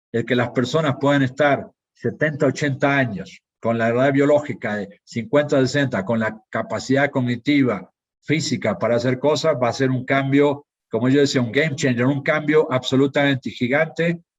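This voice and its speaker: A man with a fairly high pitch and ordinary pitch variation talks at a moderate speed. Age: 60s. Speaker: pharmaceutical industry executive. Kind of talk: conference talk. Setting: live online conference. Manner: hesitant, with fillers and repetitions.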